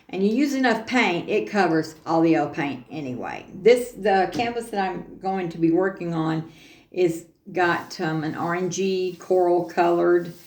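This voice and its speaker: There is audible room echo around a woman speaking at medium pitch. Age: 60s. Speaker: craft tutorial youtuber. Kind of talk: casual tutorial livestream. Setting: home studio. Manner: halting, many fillers.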